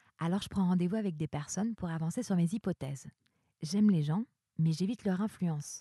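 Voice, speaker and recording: Over a quiet background, a woman with a fairly low pitch and a somewhat breathy, dark, mellow tone speaks at a fairly quick pace with ordinary pitch variation. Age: 30s. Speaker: performing arts worker. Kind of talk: personal monologue.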